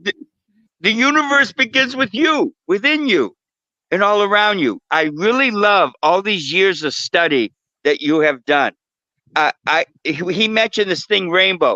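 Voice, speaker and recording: A man with a high pitch and very wide pitch swings speaks at a fairly slow pace, animated, in a raised, projected voice with a bright, sharp tone, very even loudness, and a dry, close sound with no echo. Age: 70s. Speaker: guest on spiritual talk show. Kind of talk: casual chat.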